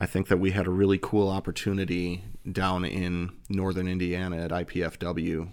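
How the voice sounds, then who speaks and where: A man with an American accent speaks in a very deep, low pitch and a monotone, flat intonation. The recording is very clean, with a silent background. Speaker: fraternity province governor. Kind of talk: casual interview.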